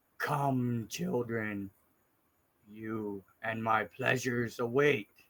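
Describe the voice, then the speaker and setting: A man puts on a character voice at medium pitch, talking at a very slow pace with fairly even intonation. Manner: sinister, unsettling.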